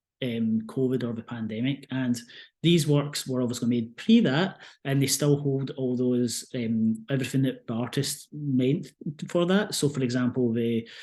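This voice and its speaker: This man has a medium-pitched voice with a dark, mellow tone. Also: ordinary pitch variation, moderate pace. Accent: Scottish. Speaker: museum curator. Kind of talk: online art talk presentation.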